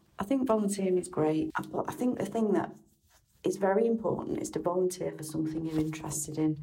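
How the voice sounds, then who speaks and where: A woman with a Mancunian accent, talking at a very fast pace. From Manchester, England. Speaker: charity telephone volunteer. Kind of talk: prepared recorded statement.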